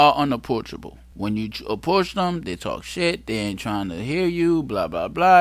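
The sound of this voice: At a moderate pace, a man talks with big pitch swings.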